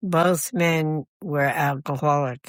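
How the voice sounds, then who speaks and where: A woman speaks with an American accent in a fairly low pitch. The sound is dry and close with no echo, on a very clean recording with a silent background. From New Jersey. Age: 80s+. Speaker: retired hospice nurse and missionary. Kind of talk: interview storytelling. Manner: halting, with repeated words.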